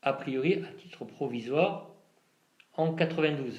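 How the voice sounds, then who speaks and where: A man's voice carries audible room echo. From southeastern France (La Ciotat, Provence). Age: 50s. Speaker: interviewee, local resident. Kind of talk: interview answers. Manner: halting, many hesitations.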